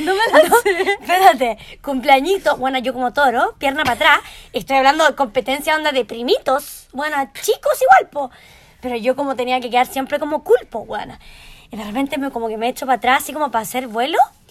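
Her intonation lively, a woman talks at a fairly quick pace and a high pitch. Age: 20s. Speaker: podcast co-host, eyelash technician. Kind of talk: casual chat.

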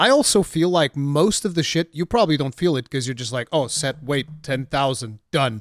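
A man with a Portuguese accent talks at a fairly quick pace in a fairly high pitch, with a dry, close sound and no echo. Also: very clean recording, silent background. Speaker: gaming YouTuber and podcast host. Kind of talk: casual chat.

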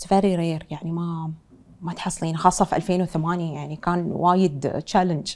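Speaking with an Emirati accent, a woman keeps a monotone, flat intonation at a fairly low pitch while her loudness swings widely. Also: moderate pace, very clean recording, silent background. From UAE, Dubai. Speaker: fashion designer and entrepreneur. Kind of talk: interview.

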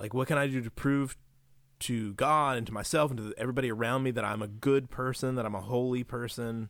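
In an American accent, a man with an ordinary speaking voice and medium pitch talks at a fairly quick pace with fairly even intonation on a very clean recording with a silent background. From West Virginia. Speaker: religion lecturer. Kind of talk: casual chat.

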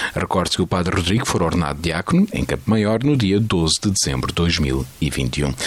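Lively intonation in a European Portuguese accent, at a moderate pace with hardly any pauses and very even loudness, over noticeable background noise. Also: man, very deep, low pitch for a man. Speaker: radio news presenter. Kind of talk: news reading. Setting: studio.

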